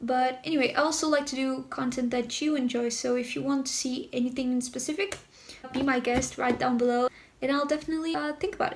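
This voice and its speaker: A woman's high-pitched voice at a very fast pace, with fairly even intonation and noticeable background noise. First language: Portuguese. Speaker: YouTuber. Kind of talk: casual vlog talk to camera.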